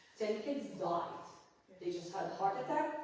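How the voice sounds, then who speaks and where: In an Arabic accent, a woman speaks at a moderate pace with very wide pitch swings and audible room echo. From Gaza, Palestine. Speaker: photojournalist. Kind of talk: panel talk. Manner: halting, many repetitions.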